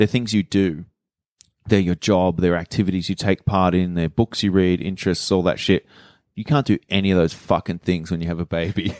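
A man's very deep, low pitch in an Australian accent, fairly quick pace and fairly even intonation, on a very clean recording with a silent background and a dry, close sound with no echo. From Sydney, Australia (western suburbs). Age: 30s. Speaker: comedian. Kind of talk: casual chat.

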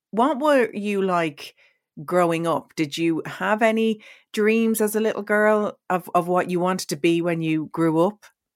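In an Irish accent, a woman speaks at a fairly slow pace with a medium pitch and ordinary pitch variation. The recording is very clean, with a silent background. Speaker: podcast host and radio presenter. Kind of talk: interview conversation.

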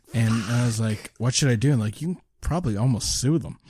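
A man's fairly quick, somewhat breathy voice, medium in pitch with a dark, mellow tone, on a very clean recording with a silent background. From Nova Scotia, Canada (Lower Sackville). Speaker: stand-up comedian. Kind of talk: casual chat.

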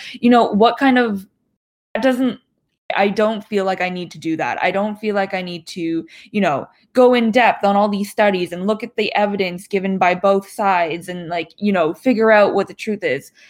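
A woman with an ordinary speaking voice talks at a moderate pace and medium pitch with ordinary pitch variation, in a very clean recording with a silent background. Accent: Canadian. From Canada, Toronto area. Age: 20s. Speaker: Chinese adoptee, graduate student. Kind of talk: casual discussion.

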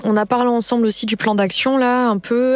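A woman's voice over noticeable background noise. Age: 30s. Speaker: job seeker in career transition. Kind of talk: testimony.

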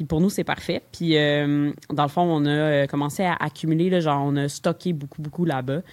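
A woman talks at a moderate pace with a very deep, low pitch. Her intonation is monotone and flat, with hardly any pauses. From Quebec, Longueuil. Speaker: brewery and convenience store co-owner. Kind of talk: interview conversation.

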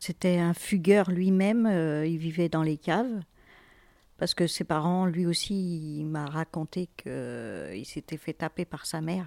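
On a very clean recording with a silent background and a dry, close sound with no echo, a woman with a fairly low pitch and a dark, mellow tone speaks at a very slow pace with fairly even intonation. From France, Fontainebleau. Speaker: birth mother searching for her son. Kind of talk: personal testimony.

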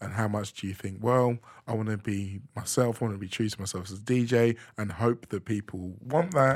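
This is an ordinary speaking voice from a man with a fairly low pitch. He talks at a fairly quick pace with ordinary pitch variation. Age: middle-aged. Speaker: podcast host and DJ. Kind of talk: casual interview chat. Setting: studio.

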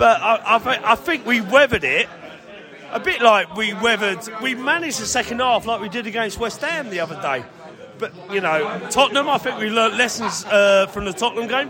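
A man with a high pitch projects a raised voice with lively intonation. He speaks at a fairly quick pace over noticeable background noise. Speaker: fan. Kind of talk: casual post-match fan chat.

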